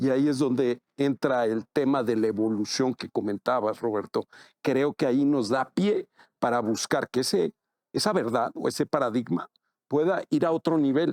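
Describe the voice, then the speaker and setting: In a very clean recording with a silent background and a dry, close sound with no echo, a man with an ordinary speaking voice talks at medium pitch and a moderate pace with ordinary pitch variation. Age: 60s. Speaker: IT manager. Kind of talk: casual panel discussion.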